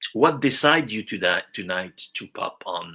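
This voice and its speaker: A man's medium-pitched, bright, sharp voice in a French accent, very slow, in a very clean recording with a silent background. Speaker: viewer joining a live stream. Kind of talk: casual chat. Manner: halting.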